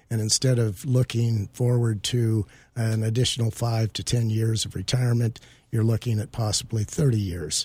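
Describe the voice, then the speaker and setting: In a very clean recording with a silent background, a man speaks at a medium pitch and a moderate pace. His tone is dark and mellow, somewhat breathy, with fairly even intonation. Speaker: estate planning attorney. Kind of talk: radio expert interview. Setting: radio studio. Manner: formal, explanatory.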